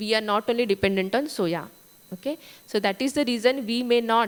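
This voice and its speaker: With an Indian accent, a woman speaks at a fairly high pitch and moderate pace. Her pitch variation is ordinary. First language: Marathi. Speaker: food testing lab director. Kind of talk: conference talk. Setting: conference stage.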